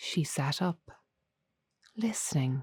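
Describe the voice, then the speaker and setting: In a very clean recording with a silent background, a soft-spoken voice talks at a very slow pace with a calm tone. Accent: Irish. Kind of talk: sleep story. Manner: soft-spoken, calm, slow.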